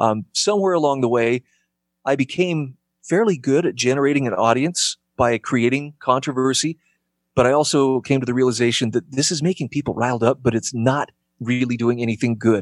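A man with an American accent and a plain, everyday voice talks at a fairly quick pace with ordinary pitch variation, on a very clean recording with a silent background and a dry, close sound with no echo. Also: medium pitch for a man, very even loudness. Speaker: radio host. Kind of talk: casual interview chat.

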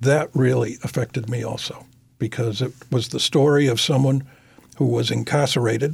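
A man's medium-pitched voice with an American accent at a moderate pace. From Massachusetts, New Bedford. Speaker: criminal defense attorney. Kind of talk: interview. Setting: studio. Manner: articulate, measured pace.

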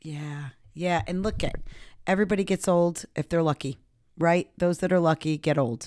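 A plain, everyday voice talks at a moderate pace with ordinary pitch variation, in a very clean recording with a silent background and a dry, close sound with no echo. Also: woman, fairly low pitch for a woman. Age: 50s. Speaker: podcast host, addiction program co-author. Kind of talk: casual chat.

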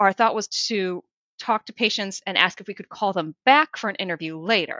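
A woman speaks with an American accent. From Minnesota, US Midwest. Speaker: emergency medicine researcher. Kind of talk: interview.

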